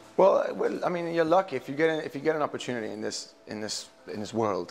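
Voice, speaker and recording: Over noticeable background noise, a man speaks very fast with lively intonation. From England, Italy and Switzerland. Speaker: singer-songwriter. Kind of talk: interview. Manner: hesitant, many fillers.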